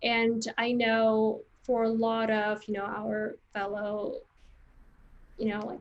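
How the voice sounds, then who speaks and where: The speaker has a non-native accent and a monotone, flat intonation. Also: woman. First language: Vietnamese. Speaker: creative recruiter and career coach. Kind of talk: interview.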